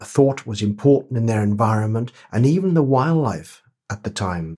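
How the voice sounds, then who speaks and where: In a Welsh accent, a man speaks with lively intonation on a very clean recording with a silent background. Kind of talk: interview. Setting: at his home.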